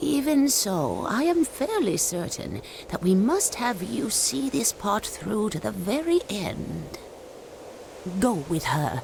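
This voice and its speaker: A woman talks in a cartoonish character voice at a fairly slow pace over clear background noise. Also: medium pitch for a woman. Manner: measured, cryptic.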